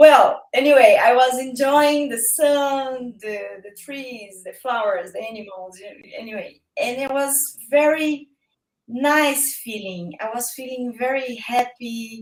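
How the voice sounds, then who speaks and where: A woman with a Brazilian Portuguese accent, high-pitched, very slow, with ordinary pitch variation and big swings in loudness. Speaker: guest. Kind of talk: casual chat. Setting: live-stream video call. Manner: halting.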